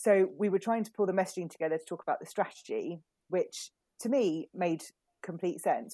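In a very clean recording with a silent background, a woman with a British accent speaks in a dark, mellow tone, the sound dry and close with no echo. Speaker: communications consultant. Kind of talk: casual interview.

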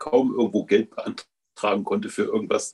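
A man speaking at a moderate pace. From eastern Germany (Leipzig). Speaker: city councillor and care home manager. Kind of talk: panel discussion.

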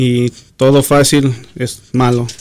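A man speaks in a monotone, flat intonation. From Los Angeles area, Mexican-American. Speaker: doctor. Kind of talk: interview. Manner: halting, many repetitions.

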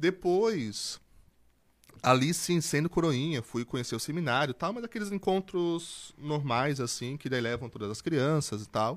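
In a normal speaking voice, a man talks fairly slowly with lively intonation on a very clean recording with a silent background. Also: fairly high pitch for a man. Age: 20s. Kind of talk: casual interview testimony.

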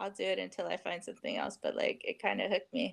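A woman speaks with an American accent. The recording is very clean, with a silent background. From Bay Area, California. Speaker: teacher. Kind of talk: interview.

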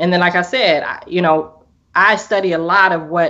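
With an American accent, a woman talks in a normal speaking voice, fairly low-pitched, at a moderate pace with fairly even intonation. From US Northwest, Portland, Oregon. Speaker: business owner and course student. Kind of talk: interview testimony. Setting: video call.

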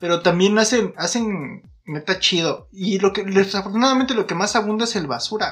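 A man with a high pitch for a man speaks with big swings in loudness. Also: ordinary pitch variation, moderate pace. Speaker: podcast co-host. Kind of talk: casual chat. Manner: animated.

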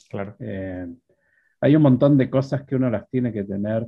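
A man speaks in a plain, everyday voice at medium pitch. His pace is moderate, with ordinary pitch variation. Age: 50s. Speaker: programming instructor. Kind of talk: interview.

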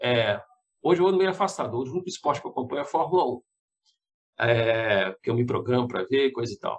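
Speaking very fast yet stopping for long, frequent pauses, a man uses a medium pitch and lively intonation. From Belo Horizonte, Minas Gerais, Brazil. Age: 50s. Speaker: TV journalist. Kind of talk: casual interview.

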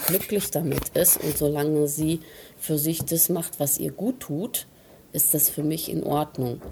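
A woman with a very deep, low pitch speaks fairly slowly with ordinary pitch variation over noticeable background noise. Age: 50s. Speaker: interviewee, mother at a spa stay. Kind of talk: interview.

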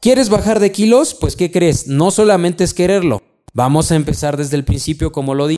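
With a Mexican accent, a man speaks fairly quickly in a high voice that has a dark, mellow tone and lively intonation. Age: 30s. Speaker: insurance advisor and podcast host. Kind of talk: solo podcast monologue.

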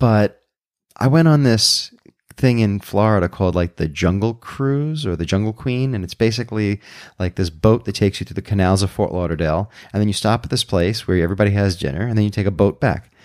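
On a very clean recording with a silent background and a dry, close sound with no echo, a man with a fairly low pitch and an American accent speaks in a normal speaking voice at a fairly quick pace with ordinary pitch variation. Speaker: podcast host and improviser. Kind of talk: casual chat.

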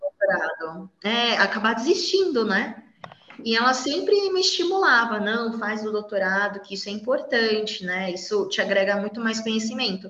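Noticeable background noise sits behind a woman talking at a moderate pace. Her fairly high voice carries lively intonation. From São Paulo, Brazil. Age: 30s. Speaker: university biology professor. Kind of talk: interview, casual chat.

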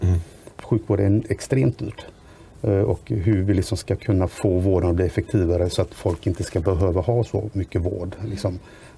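There is noticeable background noise. Through it, a man talks at a moderate pace in a very deep, low pitch. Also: ordinary pitch variation. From Sweden, Västra Götaland. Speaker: local politician. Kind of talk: podcast interview.

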